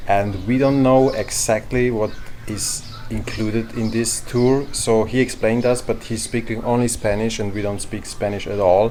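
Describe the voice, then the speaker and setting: A man speaks at a moderate pace in a medium pitch, with a non-native accent. His intonation is flat and monotone, and there is noticeable background noise. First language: not English. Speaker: travel vlogger. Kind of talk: vlog talk to camera. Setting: outdoors at a harbor.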